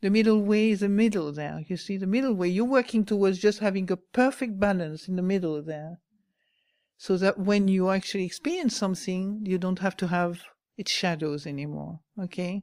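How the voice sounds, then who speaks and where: In a very clean recording with a silent background, a woman speaks at a moderate pace in a French accent. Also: medium pitch for a woman, ordinary pitch variation. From France. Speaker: Buddhist nun, meditation teacher. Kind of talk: dharma talk.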